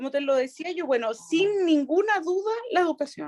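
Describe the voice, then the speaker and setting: A Chilean accent with very wide pitch swings at a fairly slow pace, in a dry, close sound with no echo. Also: woman. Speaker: regional prosecutor. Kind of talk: interview answer.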